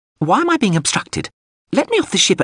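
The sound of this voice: A man speaks in a put-on character voice, high-pitched for a man, with big pitch swings. His tone is fairly bright with a slightly husky edge, and his pace is fairly quick. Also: dry, close sound with no echo.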